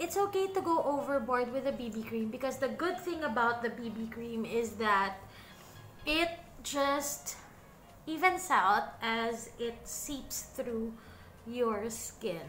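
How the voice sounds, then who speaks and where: Over music in the background, a woman with a high pitch speaks at a very slow pace. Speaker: beauty vlogger. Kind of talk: casual makeup tutorial chat. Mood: relaxed, self-deprecating. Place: home room. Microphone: studio mic.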